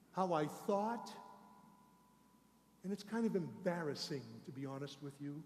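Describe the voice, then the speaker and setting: Amid audible room echo, a man speaks at a high pitch with lively intonation and long, frequent pauses. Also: moderate pace. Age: 60s. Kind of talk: sermon. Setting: church.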